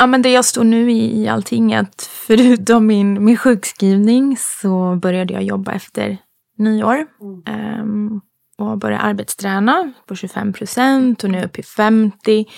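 On a very clean recording with a silent background, a woman talks at a fairly slow pace in an ordinary speaking voice, fairly high in pitch with fairly even intonation. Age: 30s. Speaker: podcast guest. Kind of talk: casual chat.

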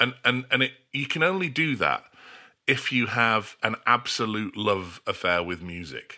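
A man speaks at a fairly slow pace with a medium pitch, a bright, sharp tone, some vocal fry and very wide pitch swings. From Australia. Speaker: songwriter and record producer. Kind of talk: interview. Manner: halting, many repeated words.

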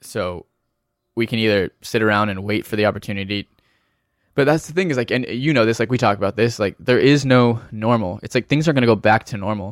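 Over a silent background in a very clean recording, a man with a plain, everyday voice speaks at a fairly quick pace and medium pitch, with ordinary pitch variation and a dry, close sound with no echo. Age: 20s. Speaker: touring musician. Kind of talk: casual chat.

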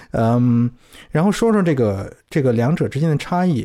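A man with a dark, mellow tone speaks at a fairly high pitch, with very wide pitch swings. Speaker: podcast guest, former UK expat. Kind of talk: casual chat. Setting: remote call. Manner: hesitant, many fillers.

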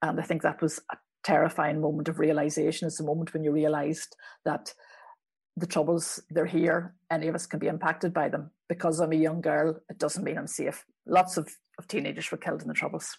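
A woman with a Belfast accent talks at a fairly quick pace. Her very deep, low voice stays monotone and flat. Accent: Belfast Northern Irish. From Northern Ireland, west Belfast. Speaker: journalist and author. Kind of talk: interview.

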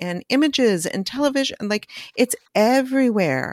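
Her intonation is lively. The woman is recorded very cleanly in a silent background, with a dry, close sound and no echo. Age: 50s. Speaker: podcast host, chiropractor and somatic healer. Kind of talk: interview conversation. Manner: animated.

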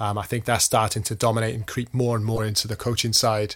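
A man with a Welsh accent talks at a fairly quick pace, somewhat breathy, his intonation monotone and flat. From Wales. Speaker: football coach. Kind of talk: casual chat.

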